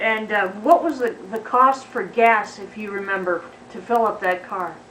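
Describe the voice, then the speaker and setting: A woman with a fairly high pitch and ordinary pitch variation speaks at a fairly slow pace. Her loudness swings widely over noticeable background noise. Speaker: college student. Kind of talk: interviewer questions.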